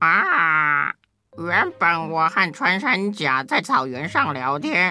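A woman's put-on character voice, slow-paced and fairly low-pitched, with big pitch swings, a bright, sharp tone and faint music in the background

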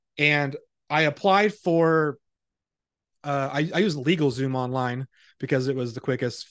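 Against a quiet background, a man with a fairly high pitch and ordinary pitch variation speaks in an ordinary speaking voice. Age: 30s. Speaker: prophetic ministry founder. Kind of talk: interview testimony.

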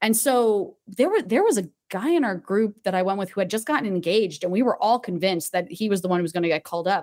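A woman of medium pitch speaks at a fairly quick pace with a slight New Jersey accent and ordinary pitch variation. The recording is very clean, with a silent background. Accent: General American, slight New Jersey. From New Jersey (Tewksbury Township). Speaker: actress. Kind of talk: casual interview chat.

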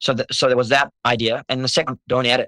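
A man speaks at a medium pitch in a bright, sharp tone. His intonation is fairly even, and the sound is dry and close with no echo. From South Africa, East London. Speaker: singer-songwriter. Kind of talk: casual interview chat.

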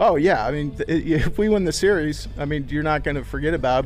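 A man with a plain, everyday voice speaks at a fairly quick pace, his pitch fairly high and his intonation fairly even. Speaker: baseball player. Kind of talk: interview.

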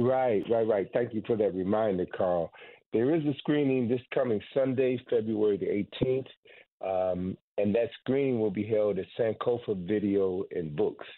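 The speaker has an unremarkable speaking voice, talking at a moderate pace with ordinary pitch variation. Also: man, medium pitch for a man. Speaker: historian and author. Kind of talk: radio interview.

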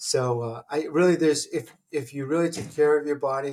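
A man talks with fairly even intonation and a somewhat breathy voice. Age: 50s. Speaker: laser engineer and company founder. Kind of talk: casual interview.

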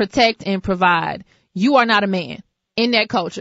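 A woman speaks in a normal speaking voice at medium pitch. Her pace is fairly slow and her intonation lively. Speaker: radio talk show host. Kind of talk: talk radio.

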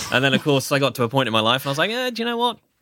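In a British accent, a man speaks with a bright, sharp tone on a very clean recording with a silent background. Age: 30s. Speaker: voiceover artist. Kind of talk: casual interview.

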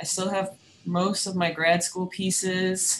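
Medium pitch and a fairly slow pace in a woman's unremarkable speaking voice. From New York City (Manhattan). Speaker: sculpture professor and furniture maker. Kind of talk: interview.

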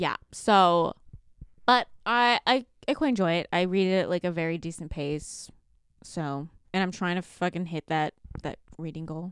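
Speaking with a Canadian accent, a woman with an unremarkable speaking voice talks at a moderate pace in a fairly low pitch with ordinary pitch variation, her sound dry and close with no echo in a very clean recording with a silent background. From Canada. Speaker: book podcast co-host. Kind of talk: casual chat.

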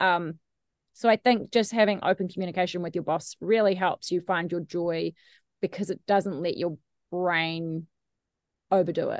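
A woman with a New Zealand accent, fairly low pitch and fairly even intonation, with long, frequent pauses, in a dry, close sound with no echo over a quiet background. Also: moderate pace. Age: 30s. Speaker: radio host. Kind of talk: casual interview chat.

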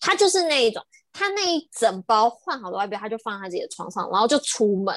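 Speaking very fast, a woman has a fairly high voice and an animated tone. Her pitch swings very widely, and the sound is dry and close with no echo. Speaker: travel podcast co-host and designer. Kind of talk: casual chat. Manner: animated, laughing often.

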